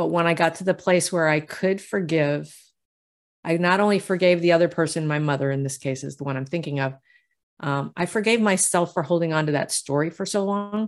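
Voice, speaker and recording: A woman talks at a fairly quick pace with ordinary pitch variation in a plain, everyday voice. The recording is very clean, with a silent background. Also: fairly low pitch for a woman. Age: 60s. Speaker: intuitive healer and novelist. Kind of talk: casual interview.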